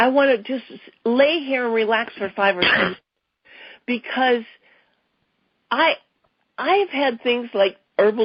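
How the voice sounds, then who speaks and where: This woman's pitch is fairly high and her intonation lively. She keeps a moderate pace. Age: 60s. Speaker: customer giving a product testimonial. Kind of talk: testimony. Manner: halting, with fillers and restarts.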